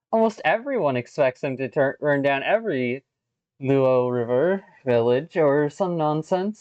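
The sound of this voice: An unforced reading voice with lively intonation, over a quiet background.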